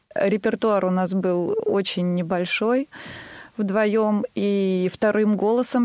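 A woman at a very slow pace with fairly even intonation, in a dry, close sound with no echo. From Tver, Russia. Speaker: singer. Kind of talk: radio interview.

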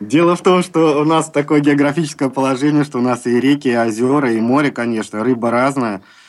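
A man with an ordinary speaking voice talks at a fairly quick pace with hardly any pauses. His pitch is fairly high, with ordinary pitch variation. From Baltiysk, Kaliningrad region. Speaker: member of society of the blind. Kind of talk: radio interview.

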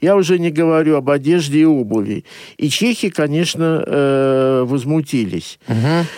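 A man speaks at a moderate pace with a fairly high pitch, ordinary pitch variation and very even loudness, on a very clean recording with a silent background. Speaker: journalist. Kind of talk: radio talk show discussion. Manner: hesitant, many filler sounds.

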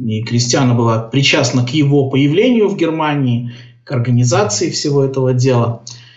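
Somewhat breathy, a man with a medium pitch speaks at a moderate pace with ordinary pitch variation and audible room echo. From Belarus (Gomel). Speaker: orientalist, software developer. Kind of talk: casual interview. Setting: Skype call.

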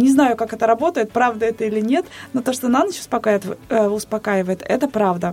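Noticeable background noise sits behind a woman talking fairly quickly at a fairly high pitch with ordinary pitch variation. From Bashkortostan, Russia. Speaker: radio host. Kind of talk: casual chat on live radio. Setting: radio studio.

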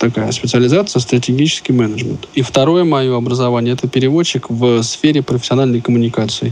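A man talks in a plain, everyday voice. His medium pitch shows ordinary variation. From Russia, Moscow. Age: 30s. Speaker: company employee, blind specialist. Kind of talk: interview.

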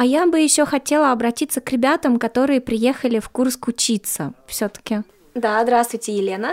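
A woman's high-pitched voice at a moderate pace, ordinary pitch variation, dry and close with no echo. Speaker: radio host. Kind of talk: radio talk show, interviewing by phone.

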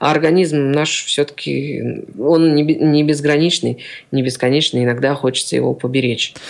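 A man with an unremarkable speaking voice talks at a moderate pace in a fairly high pitch. His intonation is fairly even and his loudness very even. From Siberia, Kemerovo region. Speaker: accordion player and teacher. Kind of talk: radio interview.

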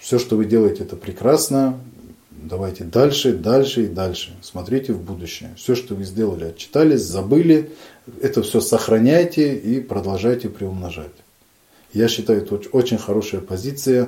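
At a moderate pace, a man with a medium-pitched, unremarkable speaking voice talks with lively intonation. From Dagestan, Russia. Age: young. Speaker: head of a local society for the blind, lawyer. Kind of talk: radio interview.

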